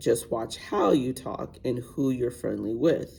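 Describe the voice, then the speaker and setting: A woman puts on a raspy character voice with a very deep, low pitch. She speaks at a fairly slow pace. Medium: read story. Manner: firm, commanding.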